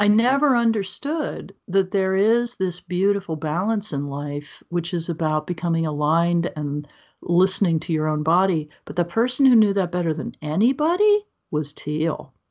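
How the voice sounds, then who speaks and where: A woman with an American accent has an unremarkable speaking voice, fairly low in pitch. She keeps a moderate pace with lively intonation. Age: 60s. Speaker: author and speaker. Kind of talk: interview conversation.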